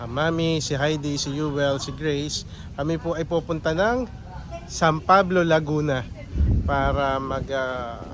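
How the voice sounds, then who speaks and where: A man talks at a fairly slow pace in a fairly high pitch with ordinary variation. Noticeable background noise is present. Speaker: family vlogger. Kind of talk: travel vlog narration.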